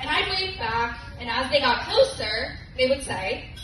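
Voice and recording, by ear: Over clear background noise, a woman with a high pitch speaks at a fairly slow pace with lively intonation.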